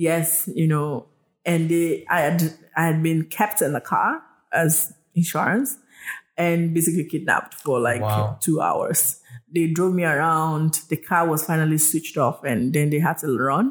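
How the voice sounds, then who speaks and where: In a Nigerian accent, a woman with a very deep, low voice speaks at a fairly slow pace with very even loudness and ordinary pitch variation, on a very clean recording with a silent background. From Nigeria, southwest (Yoruba). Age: 30s. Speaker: health tech entrepreneur. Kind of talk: interview storytelling. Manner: halting, many fillers.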